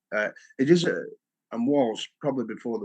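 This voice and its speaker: A man speaks with a northern English accent. His pace is fairly quick. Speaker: humanitarian volunteer and former English teacher. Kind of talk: interview, casual. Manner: hesitant, many fillers.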